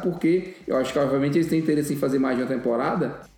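Very fast speech from a man, amid noticeable background noise and audible room echo. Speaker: podcast co-host. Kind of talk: casual chat.

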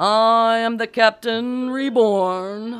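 A female-sounding put-on character voice pitched fairly high. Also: very clean recording, silent background.

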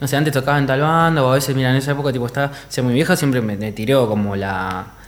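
A man speaks very fast at a medium pitch, with ordinary pitch variation and hardly any pauses. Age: 30s. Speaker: DJ. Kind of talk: casual chat.

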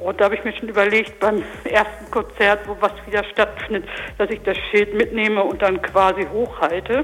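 A woman's mid-pitched voice, with fairly even intonation, comes through noticeable background noise. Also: moderate pace. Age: 40s. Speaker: radio promoter. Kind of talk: radio interview.

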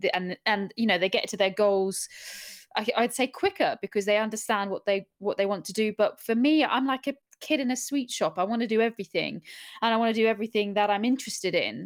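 Speaking with a southern English accent, a woman keeps a fairly quick pace and a fairly high pitch, with a dry, close sound and no echo. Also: ordinary pitch variation. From Middle East (Bahrain, Abu Dhabi), then Surrey, England. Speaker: journalist and podcast host. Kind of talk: interview. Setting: remote online call.

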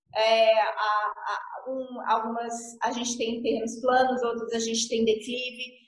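A woman speaks at a fairly slow pace in a fairly high, monotone voice with flat intonation, hardly pausing at all, and audible room echo surrounds her. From Paraná, southern Brazil. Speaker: architect. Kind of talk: interview.

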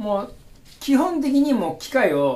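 With a Kagawa accent, a man speaks at a fairly slow pace with very wide pitch swings, amid noticeable background noise and audible room echo. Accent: Sanuki (Kagawa) dialect. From Kagawa, Japan (Kotohira). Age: 40s. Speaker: udon shop owner. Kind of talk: casual interview.

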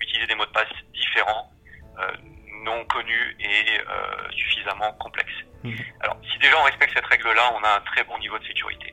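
A man speaks at a fairly quick pace. He takes long, frequent pauses. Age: 40s. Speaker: home automation retailer. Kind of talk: interview. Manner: hesitant, many fillers.

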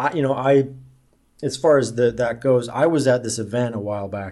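This is a man with an unremarkable speaking voice and an American accent. He talks at a moderate pace and medium pitch with ordinary pitch variation. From US Midwest, Omaha, Nebraska. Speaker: online marketer and centrist organizer. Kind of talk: casual interview.

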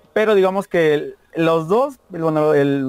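With a Mexican accent, a man speaks in a high pitch and lively intonation, the sound dry and close with no echo. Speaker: university student and musician. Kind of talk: casual interview chat. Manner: fast; stumbling over words.

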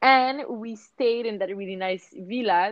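A woman with a Quebec accent talks at a moderate pace, her pitch varying in an ordinary way. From Montreal, Quebec. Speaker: surf and yoga business founder. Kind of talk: interview. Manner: hesitant, many fillers.

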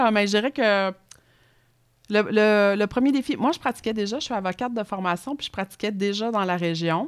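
Against a silent background in a very clean recording, a woman with a Quebec accent and fairly high pitch speaks at a moderate pace, with long, frequent pauses. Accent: Québécois French. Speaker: politician. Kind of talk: interview. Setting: studio.

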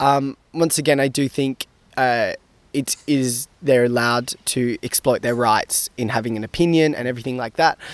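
A man with an Australian accent talks at a moderate pace and medium pitch, his intonation fairly even. The sound is dry and close, with no echo. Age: young. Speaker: university student. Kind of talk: interview.

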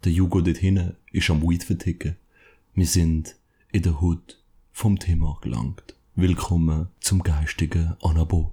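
A man's very deep, low voice has a dark, mellow tone and a somewhat breathy quality, with fairly even intonation and very even loudness. He speaks at a fairly slow pace in a very clean recording with a silent background. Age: 20s. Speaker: podcast co-host. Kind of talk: casual chat. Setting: at co-host's home.

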